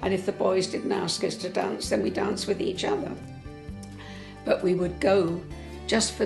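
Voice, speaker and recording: A woman talks at a moderate pace, leaving long, frequent pauses. Music plays clearly in the background. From England. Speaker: interviewee. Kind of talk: interview answer. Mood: warm, reminiscing. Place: home room. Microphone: lapel.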